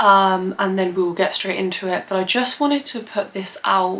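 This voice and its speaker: A woman's voice over noticeable background noise. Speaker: plant content creator. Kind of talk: casual vlog talk to camera. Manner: hesitant, many fillers.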